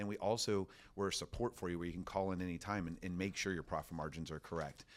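Speaking very fast with a very deep, low pitch, a man with an American accent keeps his intonation fairly even. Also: very clean recording, silent background. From Florida. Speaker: roofing company owner. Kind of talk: casual interview. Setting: office.

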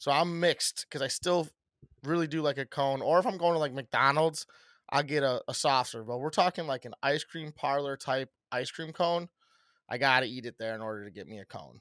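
A man with a fairly high pitch talks in a normal speaking voice at a fairly quick pace, with ordinary pitch variation, big swings in loudness, and a very clean, dry, close recording with no echo and a silent background. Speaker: podcast host. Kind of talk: casual chat.

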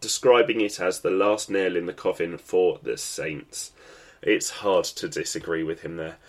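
A man with an English accent at a moderate pace. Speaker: football podcast host. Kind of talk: solo sports podcast commentary.

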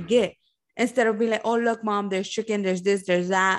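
A woman talks at a medium pitch with ordinary pitch variation and a Spanish accent. The background is quiet. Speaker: podcast co-host, restaurant server. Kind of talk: casual chat.

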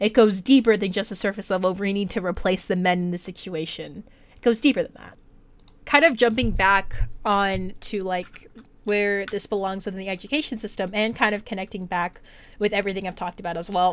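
A woman with a plain, everyday voice speaks fairly quickly with an American accent, her medium pitch varying in an ordinary way. Her loudness swings widely, and the recording is very clean with a silent background. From US, Detroit. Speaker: student presenter. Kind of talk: solo presentation. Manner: casual with frequent fillers and restarts.

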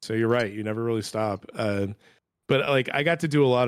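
This man has a plain, everyday voice with a fairly low pitch and a fairly quick pace. The recording is very clean and the background silent. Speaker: editor and writer. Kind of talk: casual chat. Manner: self-deprecating, chatty.

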